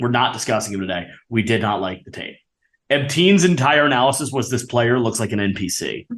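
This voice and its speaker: Fairly quick and with lively intonation, a man talks in a medium pitch with an unremarkable speaking voice. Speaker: sports podcast host. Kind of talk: casual chat.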